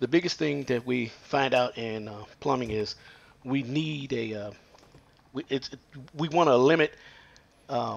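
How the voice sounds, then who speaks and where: With ordinary pitch variation, a man delivers his words at a fairly slow pace. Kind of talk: tutorial. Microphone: phone near.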